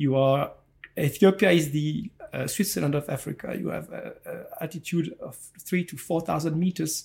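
In a French accent, a man moves at a moderate pace, with big swings in loudness. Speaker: entrepreneur and chocolate maker. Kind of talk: interview. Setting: on location.

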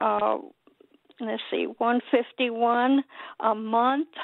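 A woman speaks at a very slow pace in a high pitch. Her intonation is monotone and flat. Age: 80s+. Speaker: caller. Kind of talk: call-in question. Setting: phone call. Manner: halting.

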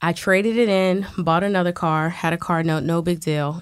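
The recording is very clean, with a silent background. A normal speaking voice moves at a moderate pace with fairly even intonation. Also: woman. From Washington DC. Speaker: bartender and fitness instructor. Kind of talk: casual interview.

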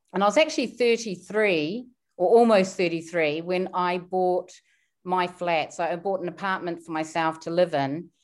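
A woman speaks with a New Zealand accent in a very clean recording with a silent background. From New Zealand, small town. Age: 50s. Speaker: wealth coach. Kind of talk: interview.

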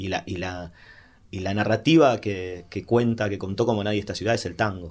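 Over a silent background in a very clean recording, a man with a Rioplatense accent speaks at a moderate pace, his fairly low pitch showing ordinary variation. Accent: Rioplatense Spanish (porteño). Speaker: singer-songwriter. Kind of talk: interview. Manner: halting, many repeated words and fillers.

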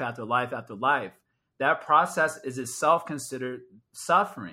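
At a moderate pace, a man with a fairly high pitch speaks on a very clean recording with a silent background. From Chicago area, US Midwest. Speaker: spiritual teacher. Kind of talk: casual chat.

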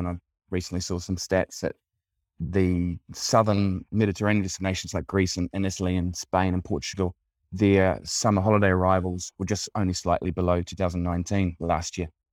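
With a New Zealand accent, a man speaks in a very deep, low pitch at a moderate pace. His intonation is monotone and flat, and the recording is very clean with a silent background. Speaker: travel tourism representative. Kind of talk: casual interview.

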